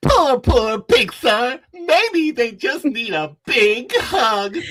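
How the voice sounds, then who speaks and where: A put-on character voice sits at a high pitch with very wide pitch swings. It moves at a very slow pace. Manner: zany, frantic.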